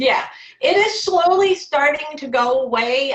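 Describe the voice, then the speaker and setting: A woman's voice with very wide pitch swings. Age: 60s. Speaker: stroke survivor and entrepreneur. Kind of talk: interview testimony.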